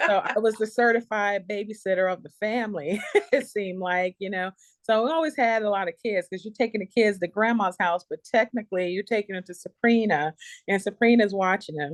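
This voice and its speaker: A woman with an American accent at a medium pitch and a fairly quick pace, in a dry, close sound with no echo. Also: ordinary pitch variation. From US South, Charleston, South Carolina (Gullah Geechee). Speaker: nurse entrepreneur. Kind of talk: interview testimony.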